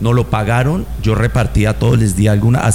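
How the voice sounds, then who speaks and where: A man at a fairly quick pace with ordinary pitch variation, against noticeable background noise. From Colombia, Medellín (paisa). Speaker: musician and band director. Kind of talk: casual chat.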